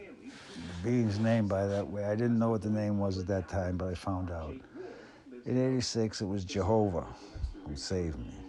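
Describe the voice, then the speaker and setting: In a room with audible echo, a man with a fairly low voice talks at a moderate pace with ordinary pitch variation. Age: 70s. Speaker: spiritual channeler. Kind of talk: spiritual monologue.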